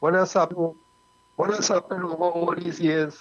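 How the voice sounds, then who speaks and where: Someone speaks in a Trinidadian accent over noticeable background noise. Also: man. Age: 70s. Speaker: calypso group member. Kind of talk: panel discussion.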